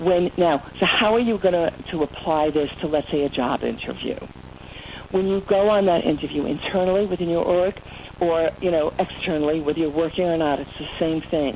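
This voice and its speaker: At a moderate pace, a woman speaks in a fairly low pitch with ordinary variation, over noticeable background noise. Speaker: motivational speaker. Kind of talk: webinar presentation. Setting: online webinar. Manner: animated.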